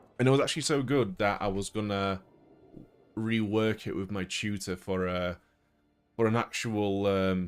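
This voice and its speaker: A man with a fairly low pitch, music in the background. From Poland. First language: Polish. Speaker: gaming streamer. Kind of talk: casual chat. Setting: live stream.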